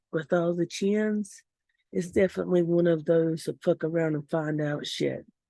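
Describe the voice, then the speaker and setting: A woman with a Southern US accent speaks at a fairly low pitch and a fairly slow pace, her tone dark and mellow. Her intonation stays fairly even over a quiet background. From US South. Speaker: vlogger. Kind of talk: casual vlog rant.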